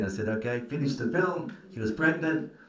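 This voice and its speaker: The speaker talks at a fairly quick pace with ordinary pitch variation, amid noticeable background noise and audible room echo. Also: man. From Australia. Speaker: film producer and karate coach. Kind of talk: panel conversation.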